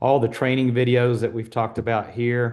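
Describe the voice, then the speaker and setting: An ordinary speaking voice, a man at medium pitch and a moderate pace. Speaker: mission trip trainer. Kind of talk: online training presentation.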